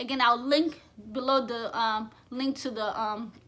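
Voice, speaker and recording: A woman projects a raised voice with a bright, sharp tone. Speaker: vlogger. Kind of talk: casual monologue to camera. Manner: occasional stutter on camera; rambling, conversational.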